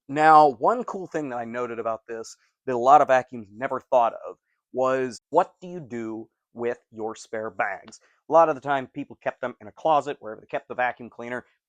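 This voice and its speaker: A man's plain, everyday voice at medium pitch and moderate pace, with ordinary pitch variation, big swings in loudness, and a dry, close sound with no echo over a quiet background. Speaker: vacuum cleaner collector and reviewer. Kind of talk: casual talk to camera.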